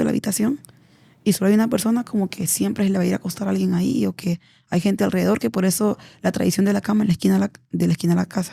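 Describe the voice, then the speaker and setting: The recording is very clean, with a silent background. The sound is dry and close with no echo, and the speech comes at a very fast pace. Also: woman. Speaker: embalmer and auxiliary nurse. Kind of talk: podcast interview storytelling.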